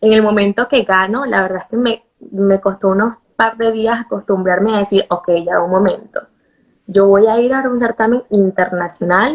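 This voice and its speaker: At a moderate pace and medium pitch, a woman speaks with a Venezuelan accent and fairly even intonation. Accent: Venezuelan Spanish, retained. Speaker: beauty pageant contestant and model. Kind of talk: interview.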